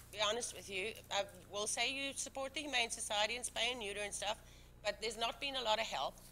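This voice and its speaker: This woman's pitch is fairly high. Her tone is bright and sharp, with ordinary pitch variation. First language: not English. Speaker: town board member. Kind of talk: heated debate. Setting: public meeting. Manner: animated.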